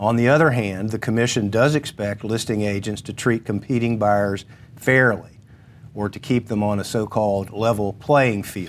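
Heard here is an unremarkable speaking voice. Its intonation remains fairly even. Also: man, fairly low pitch for a man, moderate pace. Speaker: attorney. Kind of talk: informational talk on legal topic.

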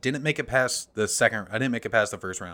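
A man speaks with an American accent in a bright, sharp tone. The recording is very clean with a silent background. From small-town US. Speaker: comedian and theater actor. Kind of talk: casual chat.

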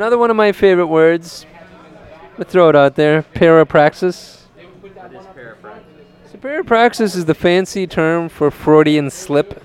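A man with a high pitch and ordinary pitch variation speaks at a moderate pace, with long, frequent pauses. His loudness swings widely over noticeable background noise. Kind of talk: casual chat.

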